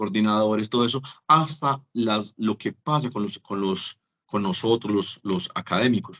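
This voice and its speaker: The tone is bright and sharp, with a dry, close sound and no echo. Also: man. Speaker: teacher. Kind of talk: lecture.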